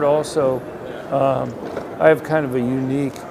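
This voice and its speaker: A man with a fairly high pitch is heard with noticeable background noise and audible room echo. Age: 60s. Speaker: economist and gun policy researcher. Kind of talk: casual interview. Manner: hesitant, many filler words.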